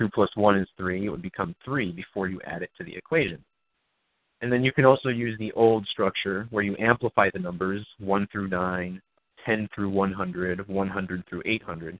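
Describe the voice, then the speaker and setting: A man with a plain, everyday voice talks at a moderate pace in a fairly low pitch with ordinary pitch variation. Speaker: numerology researcher and activist. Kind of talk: interview. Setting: phone call.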